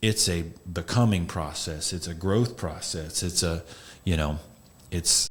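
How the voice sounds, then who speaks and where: A man speaks with a very deep, low pitch and ordinary pitch variation, somewhat breathy. His pace is fairly slow, with long, frequent pauses. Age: 40s. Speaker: podcast host, men's counselor. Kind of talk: casual chat.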